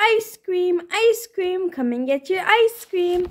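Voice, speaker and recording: A woman performs a put-on character voice at an extremely high pitch. Her pace is fairly slow. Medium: read story.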